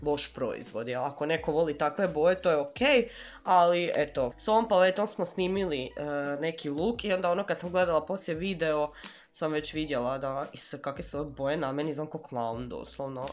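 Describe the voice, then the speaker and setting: Her voice is very deep and low for a woman, with ordinary pitch variation. She talks at a fairly quick pace. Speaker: beauty vlogger. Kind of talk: casual product review chat. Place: home room. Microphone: camera far.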